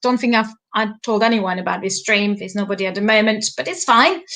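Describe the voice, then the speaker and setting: Speaking at a fairly quick pace, a woman talks in a French accent. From France. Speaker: life coach. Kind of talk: live stream monologue. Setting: live stream. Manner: halting.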